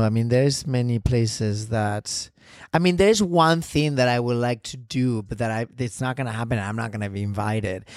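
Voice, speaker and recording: With a Spanish accent and lively intonation, the speaker talks at a moderate pace on a very clean recording with a silent background. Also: man. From Spain. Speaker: ballet dancer. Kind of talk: interview. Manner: halting.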